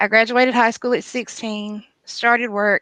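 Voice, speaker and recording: With a Southern US accent, the speaker has a bright, sharp tone and monotone, flat intonation at a moderate pace against a quiet background. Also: woman. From US South. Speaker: guest sharing testimony. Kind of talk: testimony.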